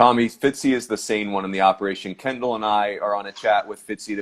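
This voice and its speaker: A man speaks in a US Northeastern accent at a fairly quick pace. His voice sits fairly low in pitch. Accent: US Northeast. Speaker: podcast host. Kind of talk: casual chat. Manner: fast.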